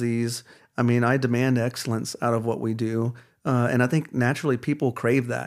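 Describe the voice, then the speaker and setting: In an American accent, a plain, everyday voice speaks at a moderate pace on a very clean recording with a silent background. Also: man. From Texas, Dallas area. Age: 30s. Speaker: chiropractor. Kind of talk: casual interview chat.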